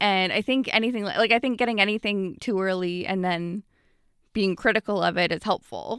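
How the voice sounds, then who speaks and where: A woman's medium-pitched, ordinary speaking voice in a Canadian accent, at a fairly quick pace with ordinary pitch variation and a dry, close sound with no echo. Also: very clean recording, silent background. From Canada, Ottawa. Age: 20s. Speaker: comedian. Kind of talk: casual chat.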